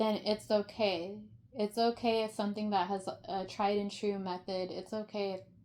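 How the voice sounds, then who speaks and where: A woman's dark, mellow voice at medium pitch, with fairly even intonation and a fairly slow pace. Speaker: tarot reader. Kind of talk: tarot reading.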